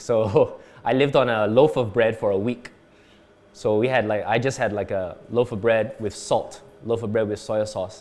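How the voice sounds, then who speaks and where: Here is a normal speaking voice with fairly even intonation. The pace is moderate. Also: man, medium pitch for a man. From Canada, then Singapore from age nine. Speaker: entrepreneur and former radio DJ. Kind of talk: interview. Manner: casual.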